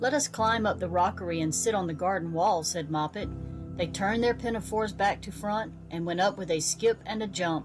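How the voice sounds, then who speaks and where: Music plays in the background as a woman speaks at a fairly quick pace. Her pitch is fairly low, with ordinary variation. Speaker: children's book narrator. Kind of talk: children's storybook reading.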